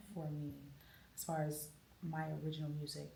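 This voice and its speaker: With an American accent and a very deep, low pitch, a woman speaks at a moderate pace amid audible room echo. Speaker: jazz and soul singer. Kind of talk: interview.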